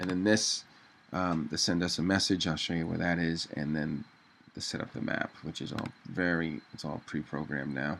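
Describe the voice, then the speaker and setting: Over noticeable background noise, a man talks with a very deep, low pitch and fairly even intonation. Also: moderate pace. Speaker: web designer. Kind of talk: tutorial. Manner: casual with fillers.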